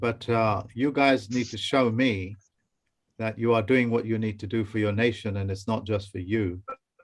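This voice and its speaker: With an English accent, a man speaks at a moderate pace and with fairly even intonation. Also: medium pitch for a man. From England. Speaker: teacher. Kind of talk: online training session. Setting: video call.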